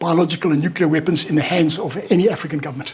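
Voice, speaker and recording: A man rattles through his words very fast with noticeable background noise around him. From South Africa. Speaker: former security insider, speaker. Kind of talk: talk with Q&A. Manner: halting, many repetitions.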